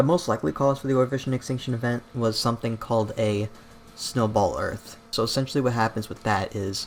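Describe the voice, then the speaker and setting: Very fast male speech at a medium pitch, with fairly even intonation. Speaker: YouTube documentary critic. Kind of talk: casual commentary video. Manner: stutters; casual, filler-heavy.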